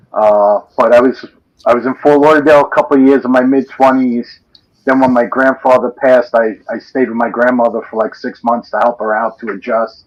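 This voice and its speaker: Here a man talks at a fairly quick pace with a Northeastern US accent. His pitch sits at a medium level. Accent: Northeast US. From New York City (Brooklyn, Staten Island). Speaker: livestream participant. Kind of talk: casual chat. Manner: animated.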